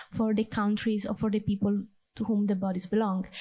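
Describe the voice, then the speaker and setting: On a very clean recording with a silent background, a woman with an Italian accent speaks in a fairly high, somewhat breathy, dark, mellow voice with fairly even intonation. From Italy. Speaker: audience member asking a question. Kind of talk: conference Q&A question. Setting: conference round table with audience.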